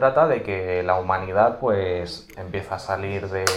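A man speaks at a fairly low pitch. Room echo is audible around his voice. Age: 20s. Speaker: Warhammer lore content creator. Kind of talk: casual interview chat. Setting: game store.

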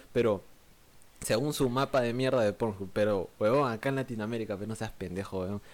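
An ordinary speaking voice comes at a moderate pace with ordinary pitch variation in a very clean recording with a silent background. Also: man, medium pitch for a man. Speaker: podcast co-host. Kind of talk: casual chat.

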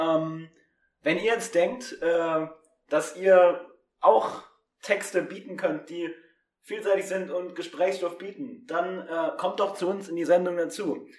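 A man's high-pitched voice at a very slow pace, with long, frequent pauses. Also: ordinary pitch variation. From Germany. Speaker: student radio presenter. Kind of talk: spoken word poetry reading; casual chat. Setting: remote recording, not in studio.

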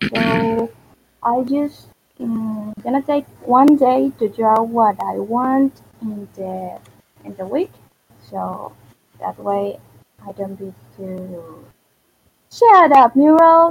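A woman with a Venezuelan accent speaks very slowly at a fairly high pitch, her intonation lively. Her loudness swings widely, and she pauses long and often. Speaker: digital artist. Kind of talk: casual chat. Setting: online voice chat.

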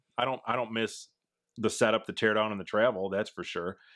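A man is speaking in a Midwestern US accent. His pitch sits in the medium range. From Wisconsin, US Midwest. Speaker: outdoors YouTuber. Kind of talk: casual interview chat. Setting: home, remote recording.

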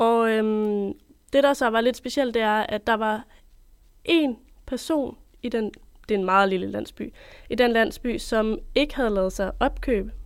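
Long, frequent pauses break up a fairly slow delivery that has ordinary pitch variation. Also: woman, fairly high pitch for a woman. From Denmark, Copenhagen. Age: 20s. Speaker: journalism student. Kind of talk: interview storytelling. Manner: hesitant, many fillers.

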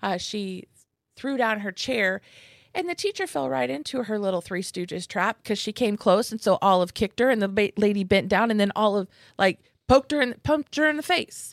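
Very wide pitch swings mark a woman's fairly quick speech in a very clean recording with a silent background. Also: medium pitch for a woman, dry, close sound with no echo. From Kansas. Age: 40s. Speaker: comedian and show booker. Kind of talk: casual chat.

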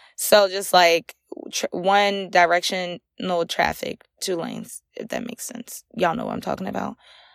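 A medium-pitched woman's voice in an American accent, with vocal fry, big swings in loudness, fairly even intonation, a moderate pace and a dry, close sound with no echo. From North Carolina, small town. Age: 20s. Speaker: podcast host. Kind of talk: casual monologue. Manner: halting, many fillers and restarts.

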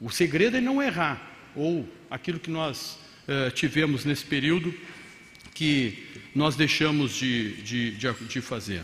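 A man speaks at a very slow pace with a fairly high pitch and lively intonation, leaving long, frequent pauses. Audible room echo and noticeable background noise surround him. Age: 50s. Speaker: mayor. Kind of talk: conference talk. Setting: stage with audience.

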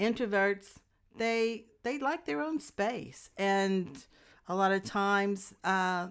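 A woman with a Louisiana accent speaks at a very slow pace and medium pitch. The recording is very clean, with a silent background. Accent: US South (Louisiana). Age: 60s. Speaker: guest, host's mother. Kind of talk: casual chat.

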